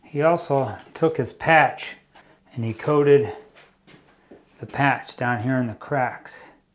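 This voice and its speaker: A man with a fairly high pitch speaks at a very slow pace, leaving long, frequent pauses. His pitch variation is ordinary. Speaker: DIY home renovation youtuber. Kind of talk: tutorial. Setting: basement under construction. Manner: casual; loud.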